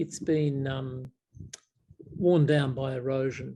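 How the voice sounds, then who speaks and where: The voice has an Australian accent and a dark, mellow tone that is somewhat breathy. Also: man. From South Australia, Adelaide. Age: 70s. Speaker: Buddhist monk. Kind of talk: casual Q&A chat. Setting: video call. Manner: halting, many fillers.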